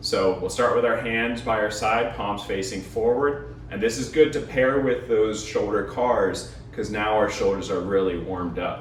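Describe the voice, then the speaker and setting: A man talks at a fairly slow pace with hardly any pauses, with audible room echo and noticeable background noise. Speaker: fitness coach. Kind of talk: follow-along workout instruction. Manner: quieter, lower voice while lying face down.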